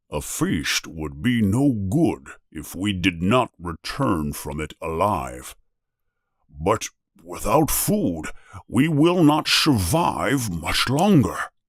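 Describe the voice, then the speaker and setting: In a put-on character voice, the speaker goes very slowly with very wide pitch swings on a very clean recording with a silent background. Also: man, fairly low pitch for a man. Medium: read story. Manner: grave, weighing the risk.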